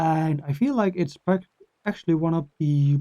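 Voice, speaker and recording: A fairly high-pitched male voice with a Danish accent, dark, mellow tone, ordinary pitch variation and moderate pace. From Denmark. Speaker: gaming YouTuber. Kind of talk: casual talk to camera. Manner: halting; rambling.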